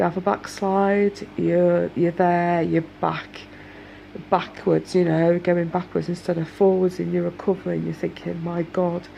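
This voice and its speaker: A woman with a British accent. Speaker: domestic abuse survivor vlogger. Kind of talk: casual talk to camera.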